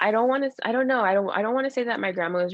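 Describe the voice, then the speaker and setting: This woman speaks at a very fast pace. Her intonation is lively. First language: Spanish. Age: 30s. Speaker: abuse survivor sharing her story. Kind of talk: interview testimony. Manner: halting.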